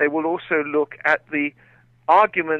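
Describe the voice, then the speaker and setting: A man talks with a fairly high pitch. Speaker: guest, former army officer and commentator. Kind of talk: radio interview answer about a military court case.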